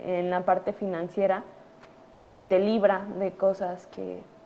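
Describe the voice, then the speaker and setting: Monotone, flat intonation from a woman at medium pitch. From Mexico City. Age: 30s. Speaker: doctor. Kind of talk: conference talk to students. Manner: halting, many fillers.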